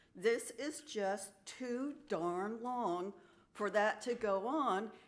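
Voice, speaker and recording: There is audible room echo as a woman speaks very slowly. Her pitch is fairly high, with ordinary variation. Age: 70s. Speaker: resident giving public comment. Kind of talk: public comment at council meeting.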